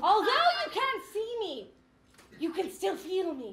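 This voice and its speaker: A put-on character voice, squeaky and extremely high, delivers its lines in a theatrical tone at a fairly slow pace. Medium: stage play. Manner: overly earnest, theatrical.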